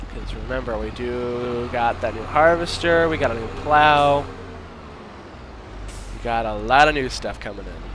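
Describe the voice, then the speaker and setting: Over noticeable background noise, a man speaks at a moderate pace with long, frequent pauses and big swings in loudness. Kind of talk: gameplay commentary. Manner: casual, joking.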